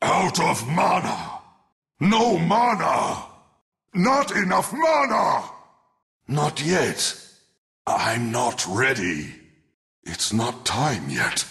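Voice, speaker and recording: A man's put-on character voice, fairly high in pitch, at a very slow pace with long, frequent pauses. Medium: video game. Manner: menacing, sinister, disdainful.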